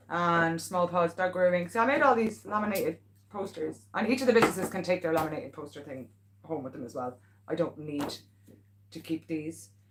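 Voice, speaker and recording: A woman with a Meath Irish accent talks at a fairly quick pace in a fairly low pitch, her tone animated and her intonation lively. Her loudness swings a lot, and background noise is noticeable. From Ireland, Navan. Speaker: local pet business owner and vlogger. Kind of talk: casual livestream chat. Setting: live stream at home.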